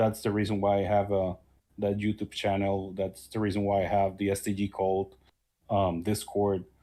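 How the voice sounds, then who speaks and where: A man with a non-native accent speaks at a moderate pace in a fairly low pitch, with a dark, mellow tone, monotone, flat intonation and very even loudness, in a very clean recording with a silent background. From small country far from others. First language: not English. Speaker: YouTuber and shoot-em-up player. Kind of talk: casual interview chat. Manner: halting.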